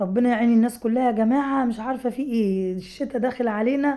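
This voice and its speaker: A woman speaks at a fairly quick pace in a high pitch, her tone dark and mellow with ordinary pitch variation. The recording is very clean, with a silent background. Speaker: home cook vlogger. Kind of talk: cooking tutorial. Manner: casual chatty.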